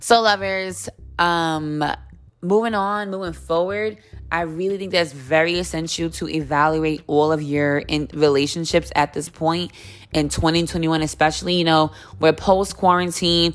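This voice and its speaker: A woman with fairly low pitch and ordinary pitch variation at a fairly slow pace, with music in the background. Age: 30s. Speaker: podcast host. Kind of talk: casual monologue.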